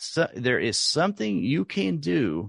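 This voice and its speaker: Lively intonation and vocal fry come through a dry, close sound with no echo over a quiet background. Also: man. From US South, rural Oklahoma. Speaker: artist and art podcast host. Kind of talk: interview conversation.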